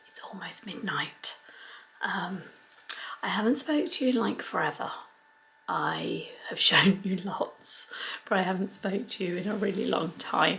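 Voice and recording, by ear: A woman puts on a raspy, quiet character voice at a medium pitch. She keeps a moderate pace.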